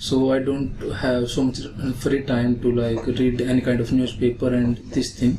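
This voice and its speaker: A man speaks at a medium pitch in a monotone, flat intonation. Noticeable background noise is present. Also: very even loudness. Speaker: student test candidate. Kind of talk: mock speaking exam answers. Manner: fast, little intonation.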